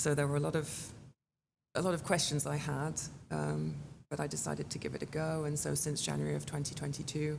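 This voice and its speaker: A woman with a strong British accent speaks with long, frequent pauses, and the room echo is audible. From England. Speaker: chamber of commerce executive director. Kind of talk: interview conversation.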